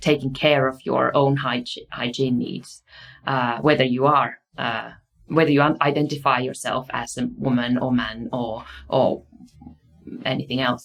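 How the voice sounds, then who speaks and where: Fairly even intonation at a fairly slow pace. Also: woman. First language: Finnish. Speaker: university researcher and lecturer. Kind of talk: lecture. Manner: halting, with many fillers.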